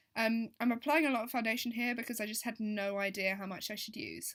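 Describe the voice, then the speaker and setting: A woman with an English accent, a fairly high pitch and a bright, sharp tone, very fast and fairly even in intonation, in a very clean recording with a silent background. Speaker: beauty vlogger. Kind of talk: voiceover tutorial. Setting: voiceover recording.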